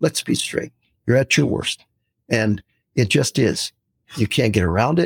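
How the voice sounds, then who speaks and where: Vocal fry colors this fairly slow speech with an American accent. The sound is dry and close, with no echo. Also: man. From San Francisco, US West Coast. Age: 60s. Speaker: retired pastor, missionary and anthropology professor. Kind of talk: casual interview chat.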